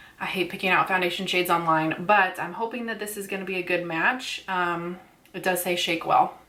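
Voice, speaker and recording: A woman of medium pitch talks at a fairly quick pace. Her intonation is fairly even, with noticeable background noise. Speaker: beauty vlogger. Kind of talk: casual chat. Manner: loud; soft-spoken.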